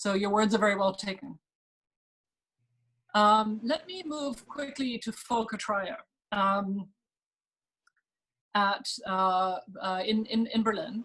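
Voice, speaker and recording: A woman speaks at a very slow pace with a German accent, her pitch fairly high and its variation ordinary. Long pauses come often. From Germany. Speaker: think tank fellow, moderator. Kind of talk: panel moderation. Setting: webinar video call.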